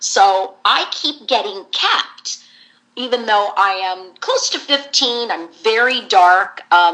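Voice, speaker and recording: Speaking very slowly in an American accent, a woman has a fairly high pitch and ordinary pitch variation. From US West Coast, San Jose, California. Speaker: voice actress. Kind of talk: interview. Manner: animated.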